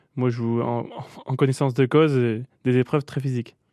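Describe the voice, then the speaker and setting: A man with a dark, mellow tone talks at a medium pitch and fairly quick pace in monotone, flat intonation. The sound is dry and close with no echo over a quiet background. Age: 20s. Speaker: boules coach and player. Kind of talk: radio interview.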